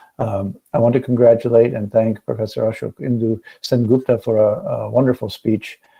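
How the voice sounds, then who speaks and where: A man with a non-native accent, medium pitch, moderate pace and hardly any pauses. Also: fairly even intonation. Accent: non-Indian English accent, noted by speaker. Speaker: academic speaker at webinar. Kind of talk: lecture. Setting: video call. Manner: hesitant, many fillers and repeats.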